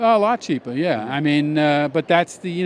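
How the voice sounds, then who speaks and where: Over noticeable background noise, a man speaks at a moderate pace with fairly high pitch and ordinary pitch variation. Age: 60s. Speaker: snake breeder. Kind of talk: casual interview.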